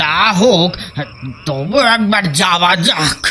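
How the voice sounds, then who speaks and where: A man's put-on character voice, high in pitch, against clear background noise. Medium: audio drama. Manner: stammering, agitated.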